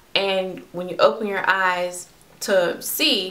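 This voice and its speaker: Audible room echo surrounds a woman speaking at medium pitch. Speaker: vlogger. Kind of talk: personal vlog.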